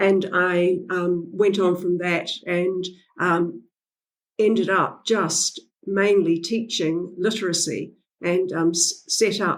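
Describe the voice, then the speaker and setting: Her medium-pitched voice stays flat and monotone as the woman talks at a very slow pace. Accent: New Zealand. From New Zealand. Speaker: literacy educator and author. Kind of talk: podcast interview. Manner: hesitant, many fillers.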